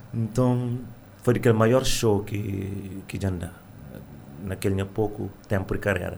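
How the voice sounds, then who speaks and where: In a room with audible echo, a man speaks at a moderate pace and fairly low pitch, his intonation fairly even. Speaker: singer and music teacher. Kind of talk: radio interview.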